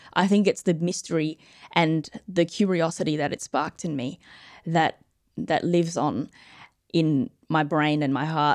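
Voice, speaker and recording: With an Australian accent, a woman speaks at a fairly slow pace and a fairly low pitch with ordinary pitch variation. The sound is dry and close, with no echo. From Australia, Adelaide. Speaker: physician and space medicine researcher. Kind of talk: interview with live audience questions.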